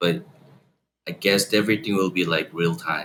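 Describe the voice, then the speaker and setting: The voice has a bright, sharp tone and a Korean accent. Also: man. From Guatemala. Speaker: tech company CEO. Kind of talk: interview.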